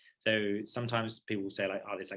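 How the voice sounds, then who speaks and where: This is a man speaking. He talks with a New Zealand accent. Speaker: paediatric surgery registrar. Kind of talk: lecture. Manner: fast; casual, filler-heavy.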